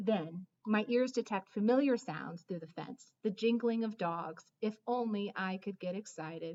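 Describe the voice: This is plain reading aloud with ordinary pitch variation and a quiet background.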